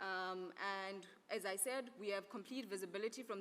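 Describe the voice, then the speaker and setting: At a fairly quick pace, a woman speaks in a medium pitch with ordinary variation, with noticeable background noise. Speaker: conference speaker presenting an Earth observation program. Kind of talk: conference presentation. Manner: fast.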